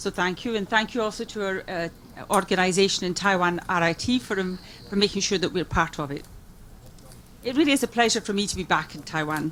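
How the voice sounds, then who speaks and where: Speaking very fast, a woman with a Scottish accent holds a medium pitch. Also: ordinary pitch variation. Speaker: music industry executive. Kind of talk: conference speech. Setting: conference forum with interpreters.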